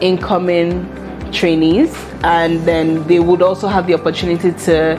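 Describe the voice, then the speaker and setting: A woman's fairly low-pitched voice, monotone and flat in intonation, at a moderate pace and very even loudness, over clear music in the background. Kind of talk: interview answer. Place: office.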